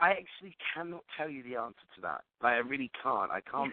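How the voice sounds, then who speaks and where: This man speaks with a London accent. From London, England. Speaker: singer-songwriter. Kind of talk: radio interview answer.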